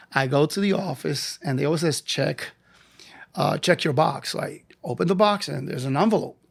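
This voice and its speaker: A man's fairly high voice with an American accent, vocal fry, ordinary pitch variation and a moderate pace. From New York (Lower East Side). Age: 60s. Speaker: physical education teacher. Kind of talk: interview. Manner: animated storytelling.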